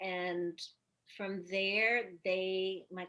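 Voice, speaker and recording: Her voice is a woman's, at a medium pitch. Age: 70s. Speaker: Pilates teacher and former ballerina. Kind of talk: interview.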